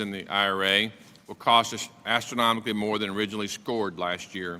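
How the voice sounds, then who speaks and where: With an Oklahoma accent, a man talks at a fairly quick pace in a fairly low pitch and a bright, sharp tone. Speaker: congressman. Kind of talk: committee hearing questioning. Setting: congressional committee hearing.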